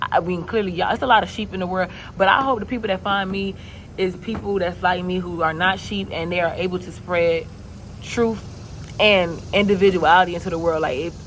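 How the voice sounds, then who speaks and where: A woman speaks at a medium pitch. Noticeable background noise can be heard. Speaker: vlogger. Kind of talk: casual vlog monologue. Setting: outdoors. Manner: fast; animated.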